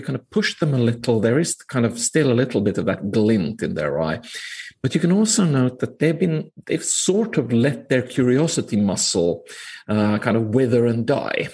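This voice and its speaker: A man talks in a somewhat breathy voice. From northern Finland. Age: 40s. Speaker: management professor. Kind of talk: interview conversation. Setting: remote call.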